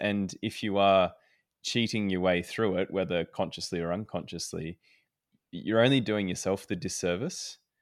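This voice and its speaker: At a moderate pace and with ordinary pitch variation, the speaker talks with an Australian accent on a very clean recording with a silent background. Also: man. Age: 20s. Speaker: climbing podcast host, Olympic climber. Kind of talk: casual chat; read-out ad and intro.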